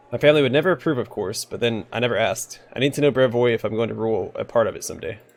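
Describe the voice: Ordinary pitch movement in plain reading aloud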